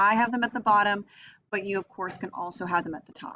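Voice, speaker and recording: A woman with ordinary pitch variation, over light background noise. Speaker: teacher. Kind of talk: tutorial. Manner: fast. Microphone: webcam.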